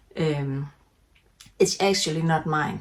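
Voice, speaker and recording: A woman speaks very slowly with a Danish accent. Her pitch is very deep and low, with ordinary pitch variation. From Denmark. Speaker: knitting podcaster. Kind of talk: casual chat. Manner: halting, many fillers.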